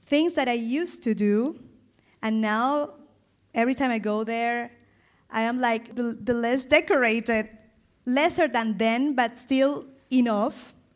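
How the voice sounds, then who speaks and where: In a very clean recording with a silent background, a woman with a Spanish accent and a high voice speaks at a fairly slow pace, with ordinary pitch variation and long, frequent pauses. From Colombia, Caribbean coast. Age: 40s. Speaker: style consultant. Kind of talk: personal testimony on a live panel. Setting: stage with audience.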